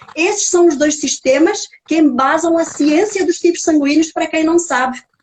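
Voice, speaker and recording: Her high pitch showing ordinary variation, a woman speaks at a moderate pace. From Portugal. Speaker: nutrigenetics specialist, author, speaker. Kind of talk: lecture. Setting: live stream video call.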